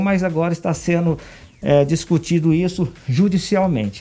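The man's voice is fairly high in pitch, with a dark, mellow tone. He moves at a moderate pace with ordinary pitch variation. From Brazil, Anápolis, Goiás. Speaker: politician and dentist. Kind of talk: radio interview.

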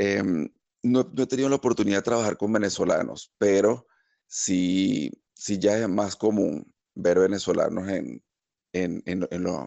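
A man's fairly low voice, with ordinary pitch variation, unfolds at a fairly slow pace. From Venezuela, Caracas. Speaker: engineer and immigrant. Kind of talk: interview. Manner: halting, with many repeated words.

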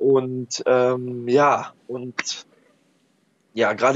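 A man speaking in a monotone, with flat intonation. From Ruhr area, Germany (Oberhausen). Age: 30s. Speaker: social worker and antifascist blogger. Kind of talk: casual chat. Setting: Skype call.

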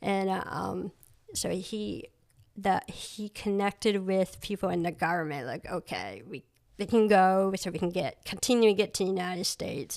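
At a moderate pace, a woman talks in an ordinary speaking voice with an American accent. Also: medium pitch for a woman, ordinary pitch variation. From Maine, US (adopted from Cambodia as infant). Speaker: artist and photographer. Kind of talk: casual interview. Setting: home studio.

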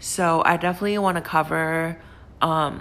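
Speaking at a fairly slow pace with a Chinese accent, a woman has a fairly low pitch and a bright, sharp tone. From China. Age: 20s. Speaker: podcast host. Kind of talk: casual monologue. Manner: hesitant, many fillers.

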